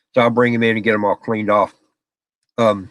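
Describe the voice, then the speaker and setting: A loud man with a Southern US accent, bright, sharp tone and medium pitch, at a very fast pace. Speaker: live streamer. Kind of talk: casual chat. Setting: home office, live stream.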